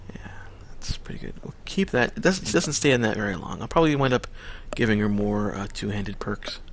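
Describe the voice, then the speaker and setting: Mumbling at a fairly quick pace, a man with a fairly low pitch uses lively intonation and big swings in loudness. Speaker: gaming video creator. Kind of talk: let's play commentary. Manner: casual, hesitant.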